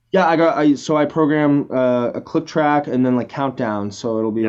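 Here a man uses an ordinary speaking voice. He keeps a moderate pace with ordinary pitch variation. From Canada. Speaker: pop band drummer. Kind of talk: casual interview.

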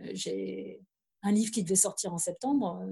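This woman's voice has a dark, mellow tone and some vocal fry. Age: 50s. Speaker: journalist, author and trail runner. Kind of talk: casual chat.

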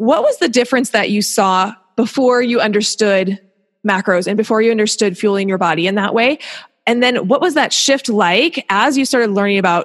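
This is an unremarkable speaking voice from a woman. Her pitch is fairly high, with ordinary variation. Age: 30s. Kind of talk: casual interview chat.

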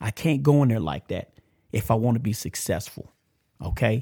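With a Texan accent, a man speaks at a moderate pace in a medium pitch. His voice is somewhat breathy, with ordinary pitch variation. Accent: country Texas. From Texas, Amarillo. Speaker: podcast host, ex-offender ministry. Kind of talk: casual motivational monologue. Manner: halting, repetitive.

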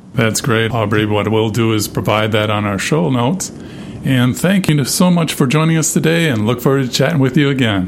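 Noticeable background noise sits under a man's medium-pitched voice. He talks fairly quickly with lively intonation and very even loudness. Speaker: radio host. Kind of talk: interview questions.

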